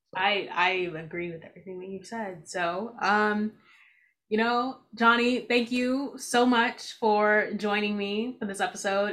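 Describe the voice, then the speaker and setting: In an ordinary speaking voice, a woman at medium pitch talks at a fairly slow pace with fairly even intonation and big swings in loudness. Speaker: podcast host. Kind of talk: casual interview chat.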